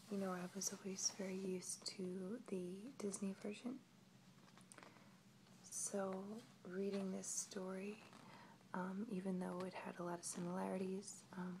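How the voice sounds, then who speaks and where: A woman at medium pitch with monotone, flat intonation, a fairly slow pace and long, frequent pauses amid noticeable background noise. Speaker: ASMR video creator. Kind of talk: ASMR storytelling and book showing. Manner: soft-spoken, whispery, slow.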